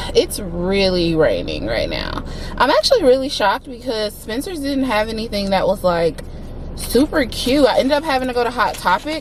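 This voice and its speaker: With an American accent, a woman talks at a high pitch with lively intonation. Noticeable background noise runs underneath. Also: moderate pace. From US Deep South. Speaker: vlogger. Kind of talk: casual vlog talk to camera. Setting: in a mall, public place.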